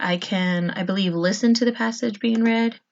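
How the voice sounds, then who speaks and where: Somewhat breathy and medium in pitch, a woman speaks at a fairly slow pace with fairly even intonation. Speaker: fourth grade teacher. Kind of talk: tutorial screen walkthrough for students.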